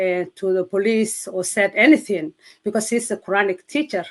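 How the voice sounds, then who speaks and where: This woman has a Somali accent and a medium pitch. Her intonation is fairly even, and her pace is moderate. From Somalia. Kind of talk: testimony. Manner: halting.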